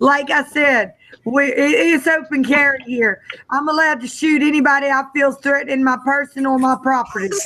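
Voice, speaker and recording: A raised, projected woman's voice, high and bright with a sharp tone, with very even loudness, ordinary pitch variation and a moderate pace. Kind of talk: casual chat.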